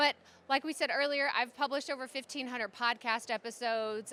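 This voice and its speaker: A woman speaks loudly in a high pitch with an animated tone. Her voice has a bright, sharp tone. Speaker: podcaster and content strategist giving a conference talk. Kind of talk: conference presentation. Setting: stage with audience.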